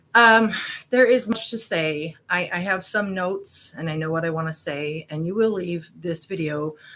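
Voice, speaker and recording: A woman with a fairly low pitch and ordinary pitch variation speaks at a moderate tempo. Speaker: YouTube conspiracy investigator. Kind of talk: casual video monologue. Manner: hesitant, many fillers.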